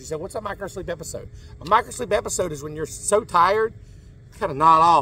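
This man talks at a fairly quick pace in a dry sound with no echo. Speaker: truck driver vlogger. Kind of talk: casual vlog chat. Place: street. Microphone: headset.

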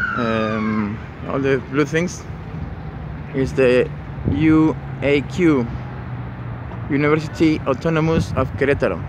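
Noticeable background noise runs under the speech. The sound is dry, with no echo. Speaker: local walking guide. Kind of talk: casual vlog tour commentary. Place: street. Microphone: phone near.

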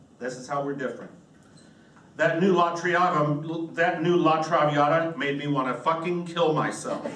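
With audible room echo, a man with an American accent talks at a moderate pace, using a fairly high pitch and fairly even intonation. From US South, western North Carolina. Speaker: comedian. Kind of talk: stand-up. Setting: stage with audience. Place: stage.

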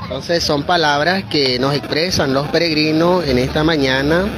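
Amid noticeable background noise, a man talks at a fairly slow pace with ordinary pitch variation in a dry sound with no echo. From Nicaragua. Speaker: religious media reporter. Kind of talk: live field reporting. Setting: outdoors. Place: open country. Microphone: phone near.

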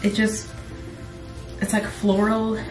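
Clear music plays in the background with audible room echo. A woman speaks over it at a moderate pace. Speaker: vlogger. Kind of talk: casual vlog chat, shopping haul. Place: bathroom.

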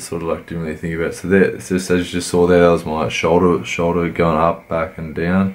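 Music plays behind a man with a very deep, low pitch. His pace is moderate. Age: 20s. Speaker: amateur bodybuilder. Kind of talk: workout commentary vlog.

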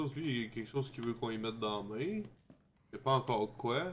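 This man speaks at a very fast pace. His pitch is medium and its variation is ordinary. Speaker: gaming streamer. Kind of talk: let's play commentary. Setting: live stream.

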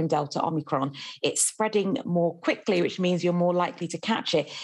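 Against a quiet background, a woman with a British accent talks at a fairly quick pace and fairly low pitch with ordinary pitch variation. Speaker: journalist; journalist, newspaper reviewer. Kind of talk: newspaper review. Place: home room. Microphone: video call.

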